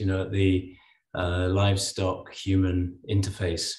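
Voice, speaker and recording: In a quiet background with audible room echo, a man speaks fairly slowly in a somewhat breathy voice. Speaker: animal health worker asking a question; webinar panelist. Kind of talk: audience question. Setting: video call. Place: home room. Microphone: video call.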